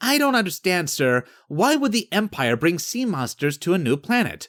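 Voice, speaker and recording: A man puts on a character voice at a high pitch with very wide pitch swings. He speaks at a moderate pace in a dry, close sound with no echo. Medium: read story. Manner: puzzled, earnest.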